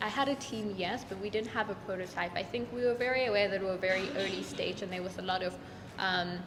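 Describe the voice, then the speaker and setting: Speech rushes by at a very fast pace with ordinary pitch variation, noticeable background noise, and audible room echo. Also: woman, medium pitch for a woman. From Kenya and South Africa. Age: 20s. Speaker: startup founder, business student. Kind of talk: interview testimonial.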